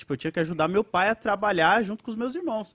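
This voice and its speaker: A man's voice against a quiet background. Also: dry, close sound with no echo. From Brazil, Alagoas. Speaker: internet show co-host. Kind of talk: casual chat.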